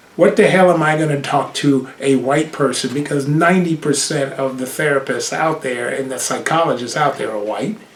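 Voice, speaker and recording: A man with an American accent, a fairly high pitch and a moderate pace, with noticeable background noise and audible room echo. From Brooklyn, New York. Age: 60s. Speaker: podcaster and broadcast cameraman. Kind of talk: personal monologue. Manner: animated.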